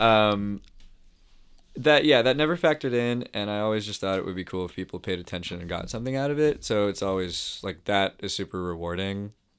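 A plain, everyday voice from a man, fairly low in pitch, with lively intonation and a fairly quick pace. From Toronto, Canada. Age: 30s. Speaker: musician. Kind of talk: casual chat.

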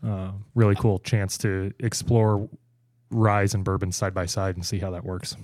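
In a very clean recording with a silent background, a man with a plain, everyday voice speaks at a moderate pace in a fairly low pitch with fairly even intonation. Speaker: communications director at a craft beverage consulting firm. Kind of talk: casual interview chat.

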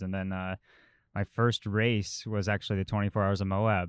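A man with an American accent speaks at a fairly quick pace in a fairly low pitch and monotone, flat intonation. The sound is dry and close with no echo, a very clean recording with a silent background. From Colorado, US. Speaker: professional cyclist. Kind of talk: casual chat.

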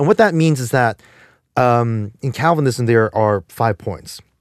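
A man with a New Jersey accent talks at a moderate pace and medium pitch, with lively intonation. The sound is dry and close, with no echo. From New Jersey, Jersey City. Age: 40s. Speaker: podcast co-host. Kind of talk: casual chat. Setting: studio. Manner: halting, many repeated words.

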